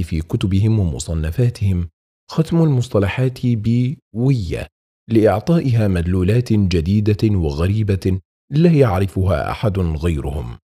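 A man with a fairly low pitch and a dark, mellow tone speaks at a very slow pace, somewhat breathy, with very wide pitch swings. The recording is very clean, with a silent background. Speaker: audiobook narrator. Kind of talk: audiobook reading of Islamic text. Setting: studio. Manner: clear, correct classical Arabic pronunciation.

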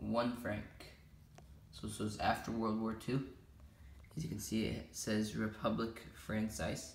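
A man talks at a fairly low pitch. Vocal fry creeps into his voice. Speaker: coin collector. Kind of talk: casual talk to camera.

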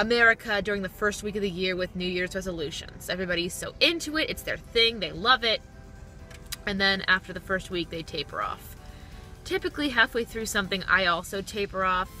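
Over faint background music, a woman talks at a fairly quick pace with ordinary pitch variation and a dry sound that has no echo. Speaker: vlogger. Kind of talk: casual vlog chat. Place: car.

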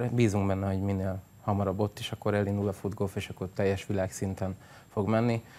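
A man talks in a monotone with flat intonation, on a very clean recording with a silent background. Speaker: sports association president. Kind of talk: TV studio interview. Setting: studio.

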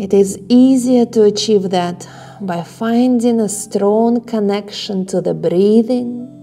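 Faint music sits in the background as a woman talks. She goes at a very slow pace with ordinary pitch variation. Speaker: yoga instructor. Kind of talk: guided relaxation instruction. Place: home room.

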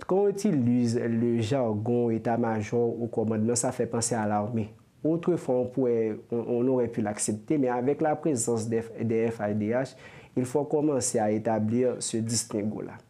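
Here a man speaks with a dark, mellow tone. His loudness stays very even, with ordinary pitch variation. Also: fairly slow pace. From Haiti. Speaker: security and defense studies professor; guest. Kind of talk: interview. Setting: studio. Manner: halting. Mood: calm analytical. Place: studio. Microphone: lapel.

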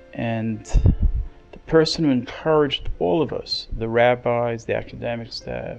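A man talks at a very slow pace while music plays behind him. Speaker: rabbi and school headmaster. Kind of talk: funeral eulogy. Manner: hesitant, many filler words, emotional.

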